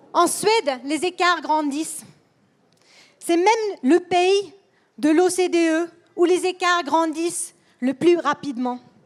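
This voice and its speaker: A woman with a non-native accent speaks at an extremely high pitch with ordinary variation. She moves at a very slow pace, leaving long, frequent pauses. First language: Swedish (speaking French). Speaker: politician. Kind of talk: political speech. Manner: halting.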